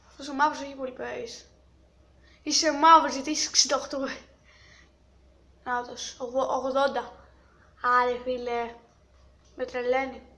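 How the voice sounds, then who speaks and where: A woman's high, bright and sharp voice, raised and projected, at a fairly slow pace with big swings in loudness, long and frequent pauses, and fairly even intonation. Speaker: gaming youtuber. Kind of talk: gameplay commentary.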